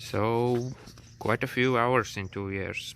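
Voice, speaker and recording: In a non-native accent, the speaker moves at a very slow pace with fairly even intonation. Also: man. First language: not English. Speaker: farmer reviewing his tractor. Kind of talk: product review walkthrough. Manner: halting, many filler sounds; reading from notes.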